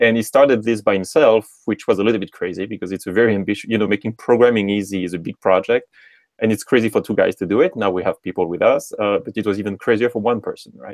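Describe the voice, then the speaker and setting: In a French accent, a man with a fairly low voice talks at a very fast pace, recorded dry and close with no echo. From France, Normandy. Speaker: tech startup co-founder. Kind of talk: interview.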